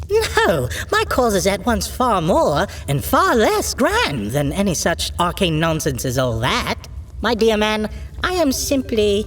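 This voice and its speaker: A put-on character voice comes at a fairly slow pace over clear background noise. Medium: audio drama. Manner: genteel, theatrical.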